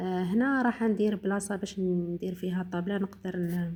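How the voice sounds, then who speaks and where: Her tone dark and mellow and somewhat breathy, a woman speaks slowly-ish, at a fairly slow pace, with fairly even intonation. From eastern Algeria. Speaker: home cooking vlogger. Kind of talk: cooking tutorial narration. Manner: halting, many fillers.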